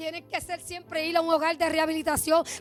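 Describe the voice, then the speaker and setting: A woman speaks at an extremely high pitch. Her tone is animated. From Puerto Rico, Bayamón. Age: 60s. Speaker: church member giving testimony. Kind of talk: testimony.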